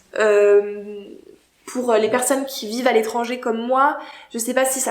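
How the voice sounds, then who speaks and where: In a room with audible echo, a woman speaks at a moderate pace and fairly high pitch in a flat monotone. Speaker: YouTuber. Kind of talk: casual vlog monologue. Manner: hesitant, many fillers.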